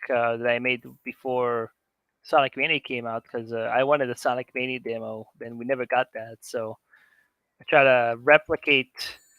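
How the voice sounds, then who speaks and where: In an Israeli accent, a man speaks at a moderate pace and medium pitch. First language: Hebrew. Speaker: conference speaker, game modder. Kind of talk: live demo talk. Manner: casual, halting with fillers.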